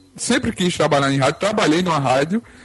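A man talks with very wide pitch swings. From Arapiraca, Alagoas, Brazil. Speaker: podcaster. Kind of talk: casual chat. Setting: online group call.

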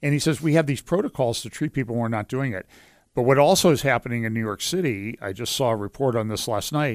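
A man with a western Pennsylvania accent talks at a medium pitch and a fairly quick pace. The very clean recording has a silent background and dry, close sound with no echo. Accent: western Pennsylvania American. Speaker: pastor and lawyer. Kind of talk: casual interview chat. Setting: studio.

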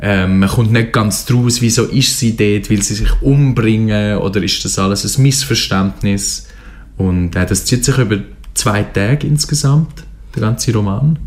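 Speaking with a Swiss accent at a fairly slow pace, a man uses a fairly low pitch and ordinary pitch variation over noticeable background noise. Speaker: literature radio show co-host. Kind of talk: book discussion. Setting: radio studio.

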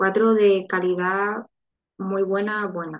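A woman at medium pitch speaks at a very slow pace with fairly even intonation. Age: 30s. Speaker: IVF patient sharing her story. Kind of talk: interview testimony.

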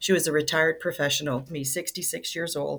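A woman with a very deep, low pitch speaks with vocal fry and fairly even intonation. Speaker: nonprofit ministry director. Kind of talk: casual interview chat.

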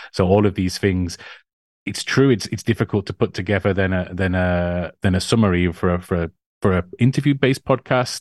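Recorded with a dry, close sound with no echo and a quiet background, a man speaks at a fairly quick pace in a very deep, low pitch with ordinary pitch variation. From northern England. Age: 40s. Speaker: anthropologist and author. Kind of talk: interview conversation.

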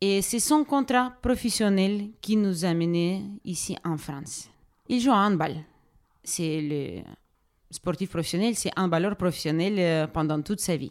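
A woman speaks at a medium pitch with lively intonation. She leaves long, frequent pauses. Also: fairly slow pace. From Ukraine, Donetsk. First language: Ukrainian or Russian (speaking French). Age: 30s. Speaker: social worker and refugee helper. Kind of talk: interview testimony. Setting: refugee reception centre. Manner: halting, many hesitations.

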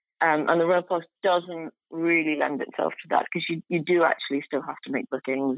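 A woman with a British accent speaks at a fairly quick pace. Her pitch is fairly low and her intonation fairly even. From UK. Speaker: journalist and travel author. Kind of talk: interview.

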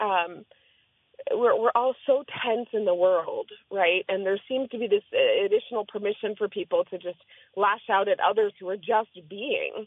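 A fairly high-pitched woman's voice with ordinary pitch variation at a moderate pace. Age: 40s. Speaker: diversity consultant and doctoral graduate. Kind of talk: telling a personal story in interview.

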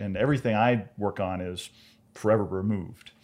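A man speaks with a plain, everyday voice, fairly low in pitch with ordinary variation. The recording is very clean, with a silent background. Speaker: astronomer. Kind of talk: casual chat.

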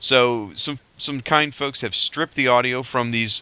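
Here is a plain, everyday voice: a man at a medium pitch with ordinary pitch variation. He talks at a fairly slow pace. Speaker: podcast host. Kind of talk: casual chat.

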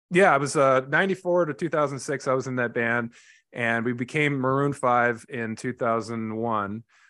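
Against a quiet background, a man with a Californian accent talks in a bright, sharp tone with ordinary pitch variation. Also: medium pitch for a man, moderate pace. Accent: General American, Californian. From US West Coast, Los Angeles. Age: 40s. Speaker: therapist and former rock drummer. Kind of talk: interview.

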